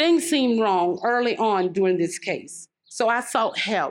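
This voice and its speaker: Against a quiet background, a woman with a plain, everyday voice speaks at a medium pitch and a moderate pace. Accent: American. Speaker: murder victim's mother. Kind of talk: speech. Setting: outdoors.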